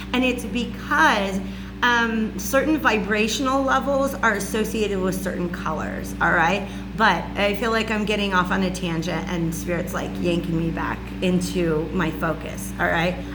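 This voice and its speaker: Loud and at medium pitch, a woman talks at a moderate pace amid noticeable background noise and audible room echo. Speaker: spiritual reader and channeler. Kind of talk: monologue lecture to camera. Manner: casual, filler-heavy.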